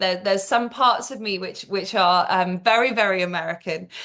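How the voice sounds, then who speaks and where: A woman with a British accent talks at a medium pitch with fairly even intonation. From England. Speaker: global health executive. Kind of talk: interview. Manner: halting, many fillers and repeated words.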